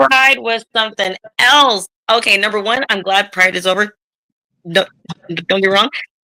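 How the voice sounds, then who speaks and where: With an American accent, a woman speaks at a moderate pace and medium pitch, her tone animated, bright and sharp, with ordinary pitch variation. She takes long, frequent pauses, and the sound is dry and close with no echo. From California. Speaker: drag performer and club worker. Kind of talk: casual interview chat.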